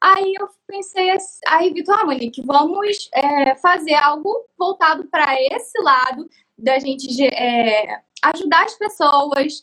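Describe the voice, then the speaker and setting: A woman with an extremely high pitch and a bright, sharp tone projects a raised voice at a very slow pace, her intonation lively. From Cabo Frio, Rio de Janeiro state, Brazil. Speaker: craft YouTuber and artisan. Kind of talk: personal life story. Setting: live stream.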